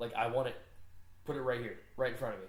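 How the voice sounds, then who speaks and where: The background noise is noticeable. Room echo can also be heard. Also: man. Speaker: podcast co-host and youth baseball coach. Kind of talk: casual chat. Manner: loud; animated.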